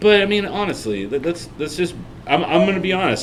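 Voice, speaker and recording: Music plays in the background and room echo is audible. A man speaks loudly at a very fast pace, with very wide pitch swings. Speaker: podcast co-host on painting. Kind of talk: casual chat. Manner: animated.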